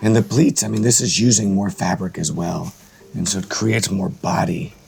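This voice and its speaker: Noticeable background noise is present throughout. The speech moves at a moderate pace. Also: man, fairly low pitch for a man. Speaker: menswear entrepreneur and channel host. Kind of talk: casual conversation, interview questions.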